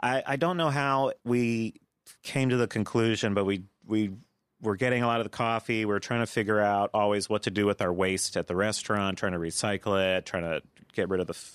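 A man speaks in a plain, everyday voice at a fairly low pitch with ordinary pitch variation and a fairly quick pace. The recording is very clean with a silent background and a dry, close sound with no echo. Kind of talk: casual chat.

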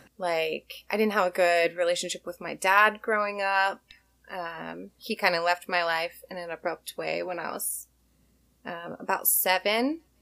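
With an American accent and a bright, sharp tone, a woman speaks with big swings in loudness on a very clean recording against a silent background. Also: fairly slow pace. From Washington State, US (Tacoma/Olympia area). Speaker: small craft business owner. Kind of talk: casual interview chat.

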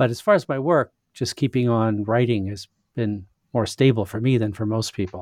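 Dry and close with no echo, a man with a plain, everyday voice talks at a moderate pace with ordinary pitch variation. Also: medium pitch for a man. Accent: Canadian. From Western Canada (Saskatchewan). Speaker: philosopher and author. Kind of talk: interview.

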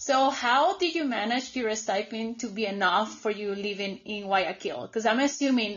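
A woman talks at a moderate pace with a Colombian accent. Her pitch is fairly high, with ordinary pitch variation. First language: Spanish. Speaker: podcast host. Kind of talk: casual podcast conversation.

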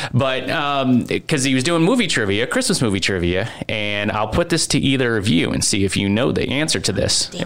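Noticeable background noise runs under this recording. A man speaks at a moderate pace with lively intonation. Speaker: podcast host and producer. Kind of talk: casual chat. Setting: studio.

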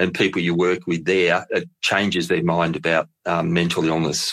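At a moderate pace, a man with an Australian accent speaks in a very deep, low pitch. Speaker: mental health charity executive. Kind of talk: interview.

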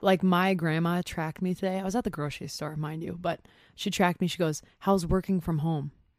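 In a very clean recording with a silent background, a woman with an American accent and a normal speaking voice talks at a fairly quick pace, her fairly low pitch held to fairly even intonation. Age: 20s. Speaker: digital marketer. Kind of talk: casual chat. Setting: studio.

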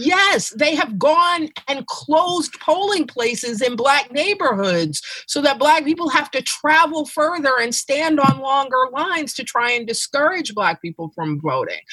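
With an American accent, a woman speaks in a raised, projected voice at a high pitch, fairly slowly with hardly any pauses and very wide pitch swings. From New York City. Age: 50s. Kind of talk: casual chat.

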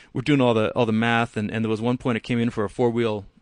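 A man's medium-pitched voice in monotone, flat intonation. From Canada. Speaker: performance car parts specialist and racer. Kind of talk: casual interview. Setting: in person at the company's shop.

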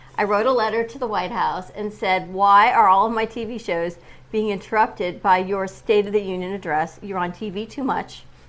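At a moderate pace, a woman speaks with fairly even intonation. Hers is an ordinary speaking voice. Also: medium pitch for a woman. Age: 50s. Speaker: morning show co-host. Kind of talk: casual chat. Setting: studio (cafe set with camera).

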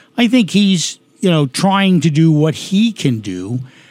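A man speaks in a New York accent with lively intonation. The recording is very clean, with a silent background. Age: 60s. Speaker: retired police detective running for Congress. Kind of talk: interview. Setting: studio.

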